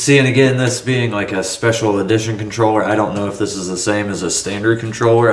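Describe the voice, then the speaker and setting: A man's fairly low voice comes through audible room echo. Noticeable background noise is also present. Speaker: tech cleaning video maker. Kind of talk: casual narration while working.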